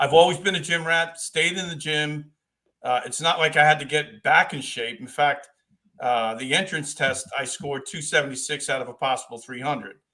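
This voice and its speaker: Bright and sharp in tone, a man speaks with an American accent. His pace is moderate and his pitch variation ordinary. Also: fairly high pitch for a man. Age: 60s. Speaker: retired police officer. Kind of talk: casual interview chat.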